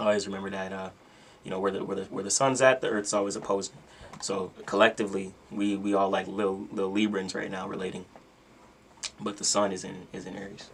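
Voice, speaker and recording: Talking very fast in a fairly low, flat monotone, a man's loudness swings widely against noticeable background noise. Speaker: astrology content creator. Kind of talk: casual livestream talk about astrology. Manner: casual, filler-heavy.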